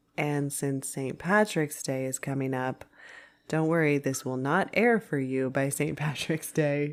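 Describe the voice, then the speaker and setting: In a very clean recording with a silent background, a woman talks at a fairly slow pace with a very deep, low pitch. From Ireland. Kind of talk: casual podcast conversation.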